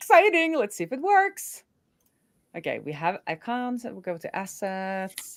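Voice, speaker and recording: In a very clean recording with a silent background, a woman with an American accent speaks at a fairly slow pace, her fairly high pitch swinging very widely. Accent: sounds American. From Norway. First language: Norwegian. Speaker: developer advocate. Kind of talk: live coding stream chat. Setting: live stream.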